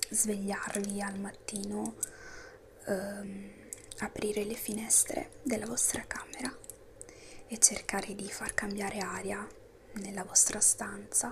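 A soft-spoken woman whispering at a very slow pace, with long, frequent pauses and noticeable background noise. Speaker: ASMR creator. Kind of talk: ASMR motivational talk. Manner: whispered, soft-spoken. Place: home room. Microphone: lapel.

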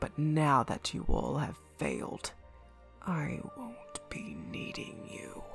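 Over clear background music, a raspy, menacing put-on character voice speaks at a fairly slow pace. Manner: cold, condescending, menacing.

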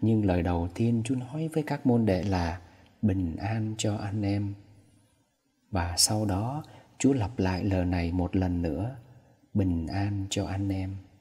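Slow and somewhat breathy, a man speaks at a very slow pace and fairly low pitch, in a dark, mellow tone with ordinary pitch variation and long, frequent pauses. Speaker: priest. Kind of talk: homily.

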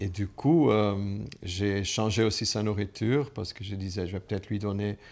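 The man's pitch is fairly low. He speaks at a fairly slow pace with fairly even intonation. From Flanders, Belgium. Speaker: businessman. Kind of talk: personal testimony to camera. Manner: hesitant, many filler sounds. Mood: warm, reflective. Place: home room.

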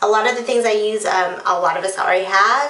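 With audible room echo, a woman speaks at a moderate pace and ordinary pitch variation. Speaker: beauty vlogger. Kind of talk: casual vlog chat. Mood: playful, a bit unsure. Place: bathroom. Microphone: phone near.

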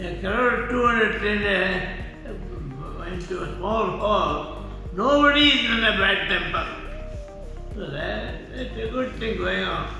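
A man speaks at a very slow pace in a room with strong echo, with clear music playing in the background. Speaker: vaccine recipient. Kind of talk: interview answer. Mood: pleased, appreciative. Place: hall. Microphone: phone near.

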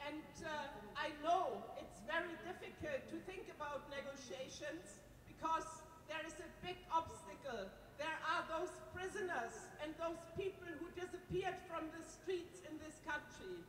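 A woman's voice with ordinary pitch variation, audible room echo and light background noise. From Germany. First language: German. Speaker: politician. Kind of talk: speech. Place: stage. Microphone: handheld.

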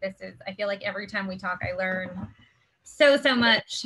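At a moderate pace, a woman speaks with a bright, sharp tone. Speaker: neighborhood commissioner; meeting host. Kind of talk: community meeting moderation. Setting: video call. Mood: polite, warm. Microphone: video call.

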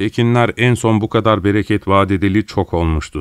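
In a plain, everyday voice, a man of fairly low pitch speaks at a moderate pace with ordinary pitch variation, his sound dry and close with no echo in a very clean recording with a silent background. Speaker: voice actor. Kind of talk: audiobook narration.

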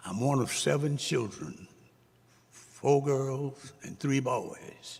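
A man speaks with a South Carolina accent at a medium pitch. He goes at a very slow pace with ordinary pitch variation. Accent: Southern US (South Carolina). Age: 80s+. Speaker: Navy veteran, public commenter. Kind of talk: public comment.

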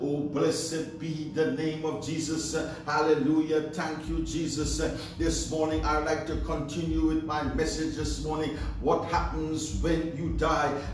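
Over light background noise, a man talks at a fairly slow pace, with audible room echo. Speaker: pastor. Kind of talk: sermon. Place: home room. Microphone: camera far.

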